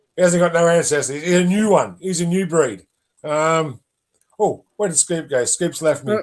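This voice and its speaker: This man has a high pitch and speaks at a moderate pace. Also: ordinary pitch variation. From England, moved to Australia at seven. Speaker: rugby league vodcast host. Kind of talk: casual live-stream chat. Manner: casual, many fillers.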